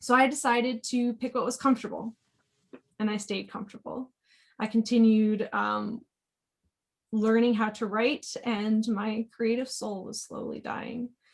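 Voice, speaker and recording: Her pitch is fairly high, her intonation monotone and flat, and her voice somewhat breathy. The woman talks at a fairly slow pace with long, frequent pauses. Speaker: technical editor. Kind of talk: panel talk.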